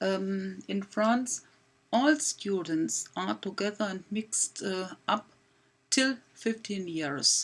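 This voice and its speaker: Speaking with a German accent, a woman goes at a very slow pace with ordinary pitch variation. The recording is very clean, with a silent background. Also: medium pitch for a woman. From Germany. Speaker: math teacher. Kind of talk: presentation. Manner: halting, many fillers.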